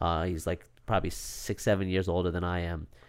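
A fairly quick pace with a New York accent. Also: man. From Long Island, New York. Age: 30s. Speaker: real estate entrepreneur. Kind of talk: casual interview chat. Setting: studio.

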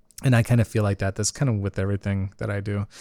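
A man talks at a fairly quick pace in an ordinary speaking voice with fairly even intonation, recorded with a dry, close sound and no echo. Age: 30s. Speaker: solo podcast host. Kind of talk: casual monologue. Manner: laughs often.

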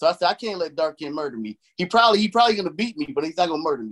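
A man with an American accent speaks very fast with lively intonation, in a dry, close sound with no echo. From Chicago, US Midwest. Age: 40s. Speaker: nerdcore rapper. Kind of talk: casual interview. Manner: animated.

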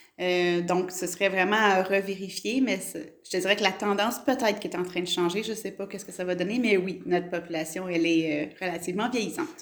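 A woman speaks at a fairly quick pace. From Quebec, Gatineau. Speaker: mayor. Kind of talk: interview. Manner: hesitant, many fillers.

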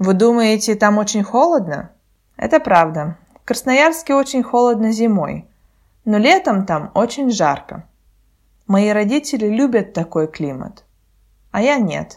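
A woman talks at a fairly slow pace with long, frequent pauses, her fairly high pitch swinging very widely. The recording is very clean with a silent background. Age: 20s. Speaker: Russian language podcast host for learners. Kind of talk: scripted narration. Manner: slow, clear.

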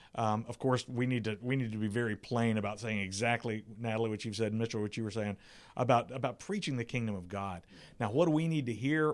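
A man with an American accent, medium pitch and ordinary pitch variation at a very fast pace, in a very clean recording with a silent background. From South Carolina. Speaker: pastor. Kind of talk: round table discussion. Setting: church building. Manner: halting, repeats words.

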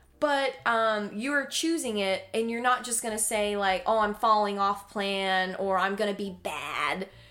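Fairly slow speech in an American accent, ordinary pitch variation, and music in the background. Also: woman, fairly high pitch for a woman. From North Carolina, Davie County. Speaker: health coach. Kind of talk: casual interview chat.

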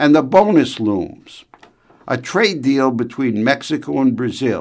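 A man speaks in a normal speaking voice at a fairly slow pace. His pitch is medium, with ordinary variation. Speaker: radio commentator. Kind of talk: formal newsreading, a scripted radio commentary on trade delivered with authority. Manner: formal, measured, steady; crisp and authoritative, with an opinionated edge.

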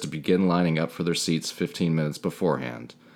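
The voice is quiet. It moves at a very fast pace. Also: man. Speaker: podcast co-host. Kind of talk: reading aloud; casual chat. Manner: quiet in narrator mode.

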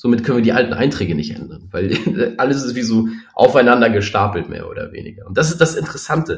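A man with a medium-pitched voice talks at a very fast pace, with vocal fry and lively intonation. His loudness swings widely. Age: 40s. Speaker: startup founder. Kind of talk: interview.

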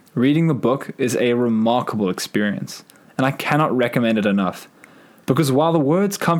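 A man talks at a moderate pace with lively intonation and a medium pitch. His is an unremarkable speaking voice. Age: 20s. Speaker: podcast host. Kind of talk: reflective monologue.

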